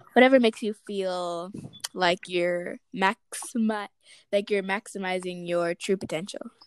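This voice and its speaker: A woman with a normal speaking voice talks at a fairly slow pace and with fairly even intonation, in a dry, close sound with no echo and a very clean recording over a silent background. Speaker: podcast co-host. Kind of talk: casual chat.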